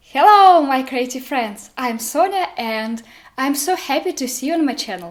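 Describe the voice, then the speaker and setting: A woman's high voice with a Russian accent and very wide pitch swings, at a fairly slow pace over background music. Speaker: art student and video creator. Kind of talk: casual tutorial vlog.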